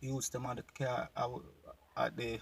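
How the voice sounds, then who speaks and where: Recorded with a dry, close sound and no echo, a man speaks with a Jamaican accent. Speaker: YouTube commentator. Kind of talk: casual reaction video talk to camera.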